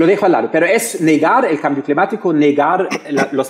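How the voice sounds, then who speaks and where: A man with a German accent speaks at a moderate pace with ordinary pitch variation against a quiet background. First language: German (speaking Spanish). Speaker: political science professor. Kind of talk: panel discussion; panel discussion answer. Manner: halting. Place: hall. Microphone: headset.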